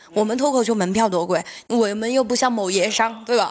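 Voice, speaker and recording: This is an ordinary speaking voice with ordinary pitch variation. It moves at a fairly quick pace. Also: woman. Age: 30s. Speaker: stand-up comedian and comedy club owner. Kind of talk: casual chat.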